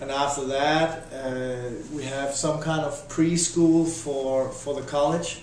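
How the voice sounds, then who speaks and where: A man's fairly high voice in a Danish accent, monotone and flat, with audible room echo and noticeable background noise. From Denmark, Odense. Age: 30s. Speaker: interviewee, former volleyball player. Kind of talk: interview. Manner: halting.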